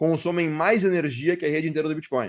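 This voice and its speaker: On a very clean recording with a silent background, a man talks at a fairly quick pace with a fairly high pitch. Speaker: crypto mining industry speaker. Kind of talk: conference talk. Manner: fast; hesitant, many fillers.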